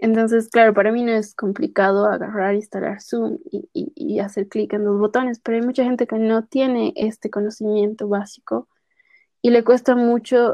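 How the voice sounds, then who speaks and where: This is a plain, everyday voice from a woman, pitched fairly high. She keeps a moderate pace and a fairly even intonation. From Bolivia, La Paz. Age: 30s. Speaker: podcast guest. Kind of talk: casual interview.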